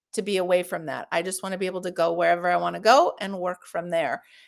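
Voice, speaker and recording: A woman speaks in a plain, everyday voice with an American accent. Her pitch is medium and her pace fairly quick. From US West Coast, Los Angeles. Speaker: health coverage advocate. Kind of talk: casual chat. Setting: live stream.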